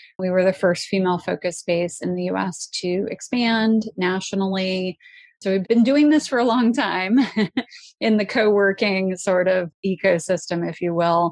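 A woman with an American accent speaks at medium pitch and a moderate pace, with ordinary pitch variation. It is a normal speaking voice over a quiet background. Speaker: entrepreneur. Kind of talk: interview.

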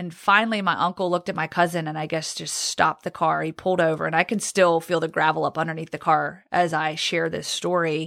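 A woman with an American accent speaks at a fairly quick pace, her fairly low pitch monotone and flat, her tone bright and sharp, in a very clean, dry, close recording with a silent background and no echo. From Virginia, US (Roanoke). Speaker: sports reporter. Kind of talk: testimony.

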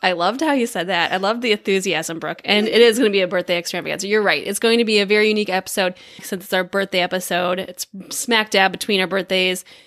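A woman's medium-pitched voice with an American accent, fairly even intonation and a very fast pace over noticeable background noise. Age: 40s. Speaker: podcast co-host. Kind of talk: casual chat.

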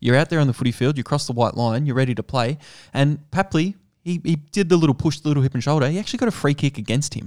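A man with an Australian accent talks at a very fast pace with ordinary pitch variation, in a very clean, dry, close recording with no echo and a silent background. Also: fairly high pitch for a man. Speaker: sports betting podcast host. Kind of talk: casual chat.

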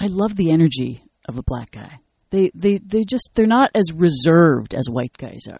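Delivered at a moderate pace with a Canadian accent, the voice makes very wide pitch swings and big swings in loudness. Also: woman, fairly low pitch for a woman. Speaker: comedian, actor and radio personality. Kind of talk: casual chat.

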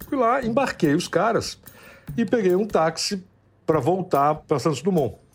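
This man has a high pitch and talks at a moderate pace, leaving long, frequent pauses. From Brazil, São Paulo. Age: 60s. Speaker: interviewee telling personal story. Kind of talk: storytelling interview. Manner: halting, repeats words.

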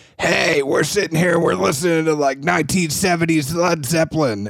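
Using a raspy, put-on character voice, a man speaks at a fairly high pitch and moderate pace. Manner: laid-back, gravelly radio delivery.

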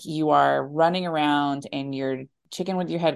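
A woman with an American accent, very deep and low in pitch, at a moderate pace over a quiet background. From Alabama, US South. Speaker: business owner and army veteran. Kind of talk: interview.

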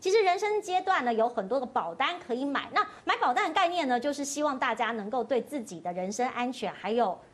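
This woman's voice is high and swings very widely in pitch. She talks fairly quickly with hardly any pauses over noticeable background noise. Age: middle-aged. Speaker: talk show host. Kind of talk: casual chat. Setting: studio.

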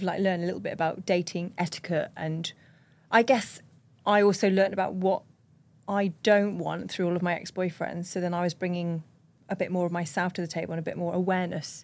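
A woman talks at a fairly quick pace in a normal speaking voice. Her medium-pitched voice keeps a fairly even intonation. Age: 30s. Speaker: podcast co-host. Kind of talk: casual chat.

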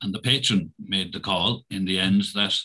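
A Tipperary accent with a bright, sharp tone. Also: man, quiet background. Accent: Irish (Tipperary). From Ireland, County Tipperary. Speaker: primary school principal. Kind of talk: interview.

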